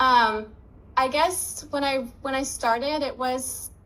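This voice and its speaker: A woman with a high voice speaks at a very slow pace, her intonation fairly even. Room echo can be heard. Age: 20s. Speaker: dropshipping student and business owner. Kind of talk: interview. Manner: casual, many fillers.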